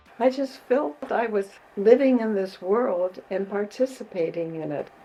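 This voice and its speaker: A woman with an American accent speaks at a fairly slow pace and medium pitch, with lively intonation, over noticeable background noise. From US Midwest, Chicago. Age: 90s. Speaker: community activist. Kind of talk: interview.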